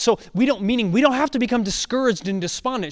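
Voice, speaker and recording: Lively intonation at a very fast pace. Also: man. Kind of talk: sermon-style health lecture. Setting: stage with audience.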